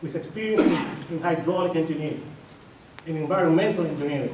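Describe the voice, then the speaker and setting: A man speaks at a high pitch and a fairly quick pace. Noticeable background noise and audible room echo surround him. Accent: strong Dominican. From Dominican Republic. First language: Spanish. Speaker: political candidate, civil engineer and educator. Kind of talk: candidate forum speech. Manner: emphatic, repetitive; halting with repeated words.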